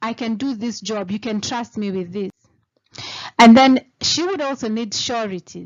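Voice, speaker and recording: This woman speaks with a Kenyan accent at a fairly high pitch. Her pace is fairly slow. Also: ordinary pitch variation. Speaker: lawyer. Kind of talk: tutorial. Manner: casual explanatory.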